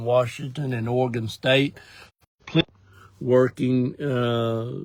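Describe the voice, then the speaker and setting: Speaking very slowly, a man holds a medium pitch in a monotone, flat intonation. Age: 60s. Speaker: ministry director. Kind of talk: casual update talk to viewers. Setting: in a parked car, live video. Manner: casual, with fillers and hesitations.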